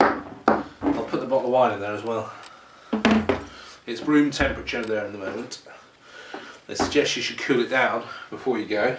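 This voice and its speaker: Man with a British accent at medium pitch, moderate pace and fairly even intonation, long, frequent pauses, noticeable background noise. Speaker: product reviewer. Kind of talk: casual product review to camera. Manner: hesitant, conversational.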